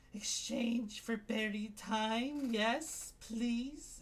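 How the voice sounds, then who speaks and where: A wheezy, guttural put-on character voice at a fairly high pitch and very slow pace, with clear background noise. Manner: wheezing.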